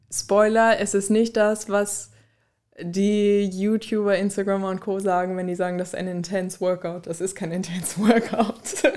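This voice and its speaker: At a fairly slow pace, a woman speaks in a monotone, flat way at a medium pitch with a dark, mellow tone. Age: 20s. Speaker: student and former gym intern. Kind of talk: casual interview.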